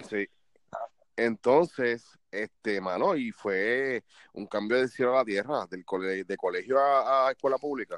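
Against a quiet background, a man with a Puerto Rican accent speaks fairly slowly with ordinary pitch variation. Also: medium pitch for a man, dry, close sound with no echo. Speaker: podcast co-host. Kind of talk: casual chat. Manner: animated.

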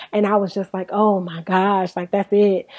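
A woman speaks in an animated tone at medium pitch and a fairly quick pace. The sound is dry and close, with no echo. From Inglewood, California. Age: 30s. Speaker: podcast host. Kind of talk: casual chat.

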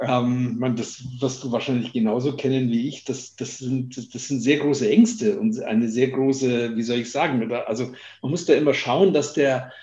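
At a moderate pace, a man with a fairly high pitch and a dark, mellow, somewhat breathy tone speaks with lively intonation. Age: 50s. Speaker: company founder. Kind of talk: interview.

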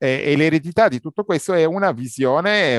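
A man talks at a fairly slow pace, his pitch swinging very widely. The sound is dry and close with no echo, over a quiet background. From Egypt, Cairo. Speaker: simultaneous interpreter and cultural commentator. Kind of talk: interview. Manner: hesitant, many repetitions.

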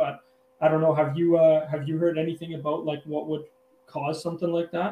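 A man's fairly high voice comes out monotone and flat. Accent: western Canadian. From Calgary, Alberta, Canada. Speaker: angler and hunter. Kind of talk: casual interview chat. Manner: hesitant, many fillers.

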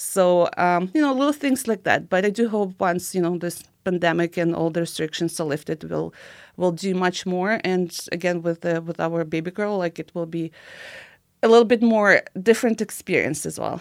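In a Ukrainian accent, a woman speaks at a moderate pace and a fairly low pitch with ordinary pitch variation, on a very clean recording with a silent background. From Ukraine. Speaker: immigration and recruitment consultant. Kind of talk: interview. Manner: halting.

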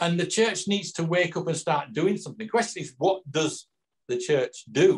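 A man speaks in a Yorkshire accent at a moderate pace. His pitch is high, with ordinary variation. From northern England. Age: 60s. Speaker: author. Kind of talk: interview. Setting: video call.

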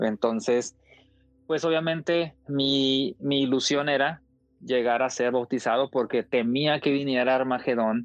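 A man's voice sits at a medium pitch. He keeps a moderate pace and fairly even intonation. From Mexico, Coahuila. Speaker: former Jehovah's Witness. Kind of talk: testimony. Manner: halting.

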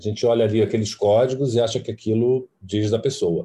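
With a dark, mellow tone, a man talks fairly quickly in a somewhat breathy voice. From Brazil, Fortaleza (Ceará). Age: 40s. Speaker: costume designer. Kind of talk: interview.

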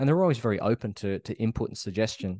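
Someone with an Australian accent talks at a fairly quick pace over a quiet background. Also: man. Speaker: actor. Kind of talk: interview. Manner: halting.

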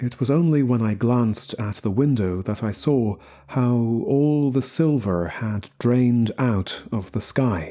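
Ordinary pitch variation while reading aloud in a natural voice.

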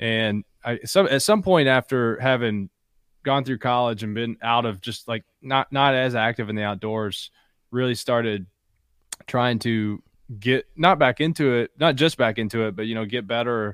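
A man's medium-pitched voice in an Appalachian accent, moderate in pace, with ordinary pitch variation and a dry, close sound with no echo. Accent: Appalachian Kentucky. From southeastern Kentucky (Appalachia, Bell County). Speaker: outdoor company founder and hunter. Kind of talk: casual chat.

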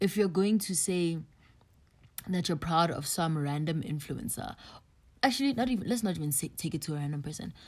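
On a very clean recording with a silent background, a woman with a fairly low, somewhat breathy voice talks at a fairly quick pace with lively intonation and long, frequent pauses. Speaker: podcast host. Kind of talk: solo podcast monologue. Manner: casual, filler-heavy.

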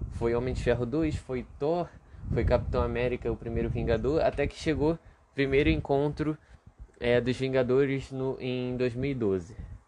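A man's medium-pitched voice moves at a moderate pace, its pitch varying in an ordinary way, while noticeable background noise runs underneath. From Brazil, Rio de Janeiro. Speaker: podcast host. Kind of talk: solo casual monologue. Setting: home bedroom. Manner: halting, many fillers and repeats.

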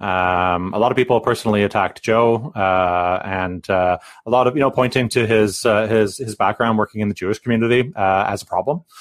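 A man with a Canadian accent speaks in an unremarkable speaking voice, fairly low in pitch, at a fairly quick pace with hardly any pauses. The sound is dry and close with no echo, on a very clean recording with a silent background. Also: ordinary pitch variation. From British Columbia. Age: 40s. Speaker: union rep and podcast co-host. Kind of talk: casual interview.

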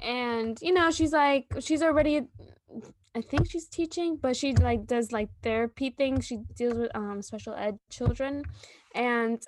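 In an American accent, the speaker talks at a fairly slow pace with ordinary pitch variation, the sound dry and close with no echo. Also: woman. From New York. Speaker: podcast co-host. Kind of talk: casual chat. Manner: animated.

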